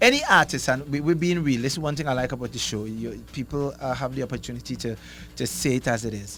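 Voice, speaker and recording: A man talks at a very fast pace with vocal fry. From Tobago. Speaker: soca artist. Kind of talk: radio interview. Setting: radio studio.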